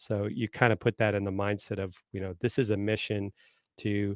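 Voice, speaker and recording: In a slight Southern US accent, a man with a fairly low voice speaks at a moderate pace in a monotone, flat intonation, with a dry, close sound with no echo and a very clean recording with a silent background. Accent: slight southern American. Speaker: marketing consultant and former marine. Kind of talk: live stream interview. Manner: hesitant fillers.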